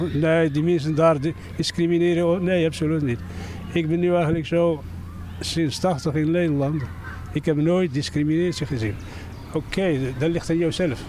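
Noticeable background noise behind a fairly high-pitched man's voice with fairly even intonation. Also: moderate pace. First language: not Dutch (speaking Dutch). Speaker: resident interviewed on the street. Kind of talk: street interview. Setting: outdoors. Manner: halting.

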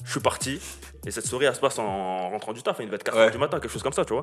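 With ordinary pitch variation, a man rattles off his words at a very fast pace. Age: 20s. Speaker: football fan, social media personality. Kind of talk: casual chat.

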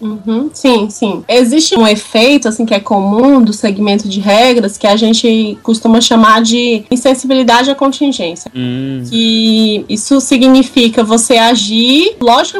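A woman's high-pitched voice with a strong Ceará accent, over noticeable background noise. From Brazil, Ceará. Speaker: researcher in behavior analysis. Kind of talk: casual podcast discussion.

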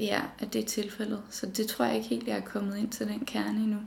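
Noticeable background noise runs through this clip. Audible room echo can be heard as well. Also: woman. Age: 20s. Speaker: design student. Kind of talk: personal interview testimony.

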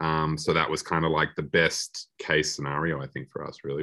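Speaking very fast in an Australian accent, a man with a very deep, low pitch keeps a monotone, flat intonation. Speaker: film director. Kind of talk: interview. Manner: halting.

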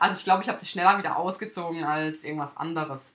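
A woman talks at a fairly quick pace. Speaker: wedding podcast host and wedding photographer. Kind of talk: solo podcast monologue. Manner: halting, with stumbles and fillers.

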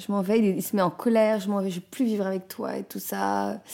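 A woman speaks at a moderate pace with a medium pitch and a dark, mellow tone. The recording is very clean, with a silent background. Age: 40s. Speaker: artist living with cancer. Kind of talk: personal testimony. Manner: halting, many fillers and repetitions.

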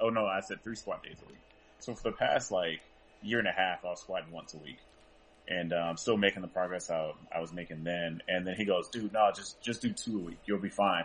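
At a fairly quick pace, a man with a normal speaking voice talks in a fairly low pitch with ordinary pitch variation. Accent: American. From US South, rural North Carolina. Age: 20s. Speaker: powerlifter. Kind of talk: casual interview. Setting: call.

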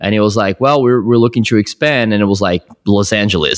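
A man with a Portuguese accent, fairly low in pitch, talking very fast in a dry, close sound with no echo. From Brazil, São Paulo. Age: 30s. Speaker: film director. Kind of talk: casual interview chat. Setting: remote call.

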